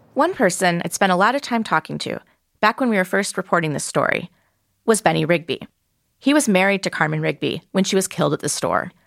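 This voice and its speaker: Speaking very fast at a medium pitch, a woman uses lively intonation and some vocal fry, on a very clean recording with a silent background and a dry, close sound with no echo. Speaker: podcast host and reporter. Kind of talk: scripted narration of investigative journalism.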